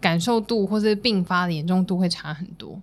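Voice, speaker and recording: In a very clean recording with a silent background, a woman at a medium pitch speaks at a moderate pace in a plain, everyday voice. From Taipei, Taiwan. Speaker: dietitian, podcast co-host. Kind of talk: casual chat.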